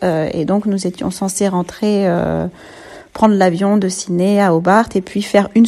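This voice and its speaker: Fairly slow, fairly even speech from a woman at medium pitch. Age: 30s. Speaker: mother giving testimony. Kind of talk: recorded testimony. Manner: halting, many hesitations.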